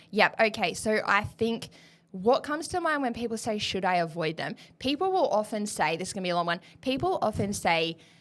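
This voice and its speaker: In an animated tone, a woman talks fairly quickly at a fairly high pitch with very wide pitch swings. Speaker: nutrition podcast host. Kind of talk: rapid-fire Q&A casual chat. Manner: fast.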